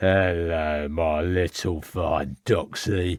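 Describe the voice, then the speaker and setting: A man uses a put-on character voice with a very deep, low pitch. He speaks at a very slow pace with fairly even intonation. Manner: leering, coarse.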